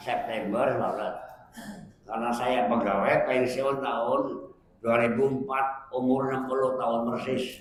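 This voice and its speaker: Amid noticeable background noise and audible room echo, a man speaks fairly slowly in a monotone, flat way at a medium pitch. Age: 80s+. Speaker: Islamic preacher, retired teacher. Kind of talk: religious study talk with Q&A.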